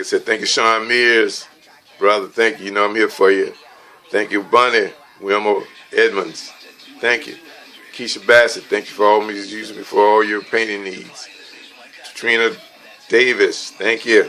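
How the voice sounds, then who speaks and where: A man talks at a moderate pace, breaking often into long pauses. Noticeable background noise runs underneath. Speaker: retiring house painter. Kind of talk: farewell speech. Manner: halting.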